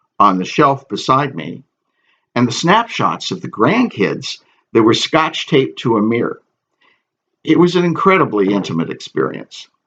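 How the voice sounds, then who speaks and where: This voice has vocal fry and very wide pitch swings. The pace is moderate. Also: man. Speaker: author. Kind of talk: audiobook reading.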